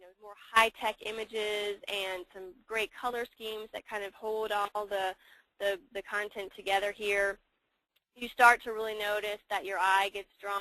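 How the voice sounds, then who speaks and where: A woman's bright, sharp voice in a monotone, flat delivery, with a dry, close sound and no echo. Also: big swings in loudness. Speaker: services team lead. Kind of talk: webinar presentation. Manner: fast.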